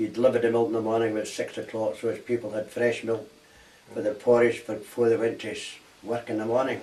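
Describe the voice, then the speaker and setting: Speaking in a Glaswegian accent, a man rushes along at a very fast pace with monotone, flat intonation. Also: medium pitch for a man. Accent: Glaswegian Scottish. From Scotland, Glasgow. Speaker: war veteran. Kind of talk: oral history interview.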